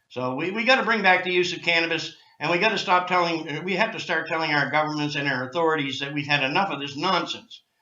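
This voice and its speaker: Speaking very fast with hardly any pauses, a man uses a high pitch and ordinary pitch variation amid audible room echo. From Canada, Nova Scotia. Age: 60s. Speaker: cannabis activist. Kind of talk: interview. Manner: animated.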